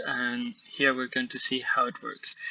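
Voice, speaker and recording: A man is speaking. He has a Spanish accent. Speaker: software developer. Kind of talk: software demo. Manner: halting, frequent repetitions.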